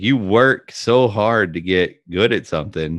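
A man's low voice with a fairly bright tone, lively intonation and a fairly slow pace

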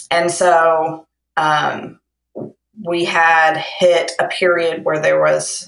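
A woman in a Kentucky accent. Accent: Kentucky Southern US. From Kentucky, Lexington. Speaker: romance novelist. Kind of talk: casual interview. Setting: phone call.

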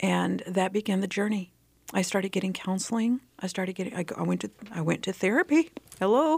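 A woman with an American accent speaks at a fairly quick pace, medium pitch and ordinary pitch variation. She has a normal speaking voice. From Texas Panhandle. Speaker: nonprofit executive director. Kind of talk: interview.

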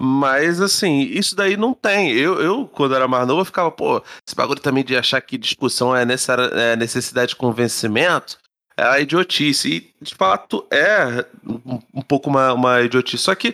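Here a man talks in an ordinary speaking voice at a fairly high pitch and a moderate pace. His intonation is lively, and the sound is dry and close with no echo. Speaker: podcast co-host. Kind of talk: casual chat.

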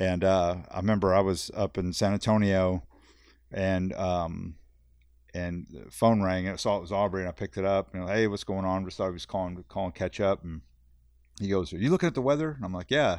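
In a South Texas accent, a man talks at a fairly quick pace with a very deep, low pitch and ordinary pitch variation, against a quiet background. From Texas, Corpus Christi. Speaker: angler. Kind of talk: casual chat.

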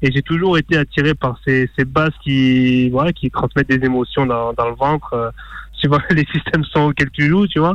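A man speaks in an ordinary speaking voice with a fairly high pitch at a moderate pace. His loudness stays very even, his intonation fairly even, and the sound is dry and close with no echo. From small town in France. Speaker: DJ. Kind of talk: interview.

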